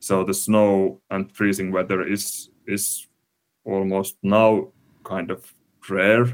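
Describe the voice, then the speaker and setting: A man with a Finnish accent speaks very slowly in a fairly low, flat monotone, on a very clean recording with a silent background. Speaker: climate researcher. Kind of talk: interview. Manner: halting.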